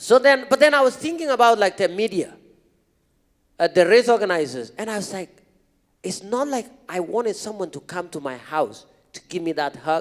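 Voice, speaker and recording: The speaker talks fairly quickly in an animated tone with a non-native accent. Pitch swings very widely, loudness shifts a lot, and long pauses come often. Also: man, high pitch for a man. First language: not English. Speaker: marathon runner, motivational speaker. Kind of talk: podcast interview on stage. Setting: stage with audience.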